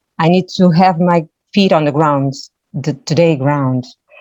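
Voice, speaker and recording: A woman's very deep, low voice, dark and mellow in tone, at a fairly slow pace with ordinary pitch variation. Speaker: priestess. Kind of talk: panel discussion. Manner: halting.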